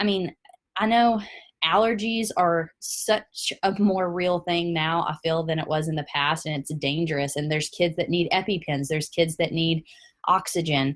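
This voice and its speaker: A woman's fairly low voice in a Tennessee accent, at a moderate pace with ordinary pitch variation. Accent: Southern US, Tennessee. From US South, Tennessee. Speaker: product presenter. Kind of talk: webinar presentation.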